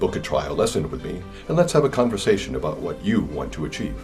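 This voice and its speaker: A man with an American accent speaks very fast in a very deep, low pitch with very wide pitch swings. Music plays in the background, and the room echo is audible. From California. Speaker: English teacher. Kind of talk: sales pitch.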